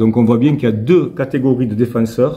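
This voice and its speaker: Here a man talks at a moderate pace, his medium-pitched voice showing ordinary pitch variation. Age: 60s. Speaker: mayor and hospital health worker. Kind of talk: interview. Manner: hesitant, many fillers and repetitions.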